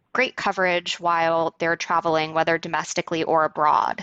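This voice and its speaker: The speaker uses an ordinary speaking voice at a moderate pace. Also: woman. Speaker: co-host, financial planner. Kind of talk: interview conversation.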